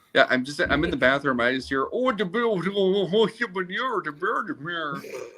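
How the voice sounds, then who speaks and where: A high-pitched man with very wide pitch swings over noticeable background noise. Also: moderate pace. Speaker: veteran podcast co-host. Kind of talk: casual chat.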